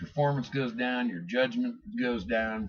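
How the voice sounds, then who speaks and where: Loud and at a moderate pace, the voice moves through very wide pitch swings. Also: man. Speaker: motorcycle vlogger. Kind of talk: casual vlog monologue.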